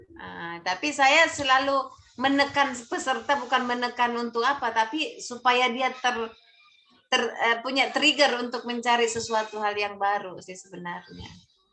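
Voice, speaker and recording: A woman with a high pitch and ordinary pitch variation speaks in a bright, sharp tone. Her loudness swings widely. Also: moderate pace. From South Sulawesi (Bugis). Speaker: civil service training mentor. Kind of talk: online mentoring session. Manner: halting, many fillers.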